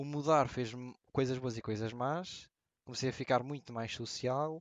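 A man with a European Portuguese accent, medium in pitch, with ordinary pitch variation. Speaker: podcast co-host and streamer. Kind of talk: casual chat.

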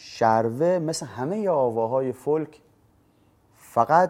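With an ordinary speaking voice at a medium pitch, a man talks with lively intonation. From Bushehr, southern Iran. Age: 30s. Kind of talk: personal monologue to camera. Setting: filmed in front of a camera.

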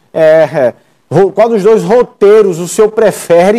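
With a dark, mellow tone and a high pitch, a man speaks at a fairly slow pace with ordinary pitch variation, the sound dry and close with no echo. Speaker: TV interviewer. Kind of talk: TV interview. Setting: video call.

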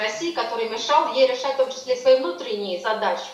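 The speech moves at a very fast pace. Audible room echo and noticeable background noise fill the recording. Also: woman. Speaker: political science professor. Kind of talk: interview.

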